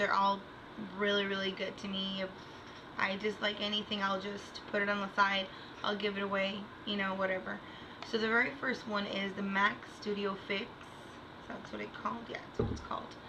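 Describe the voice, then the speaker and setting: Speaking at a fairly quick pace with long, frequent pauses, a woman holds a medium pitch in flat, monotone intonation, with audible room echo and noticeable background noise. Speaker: beauty vlogger. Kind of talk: product review.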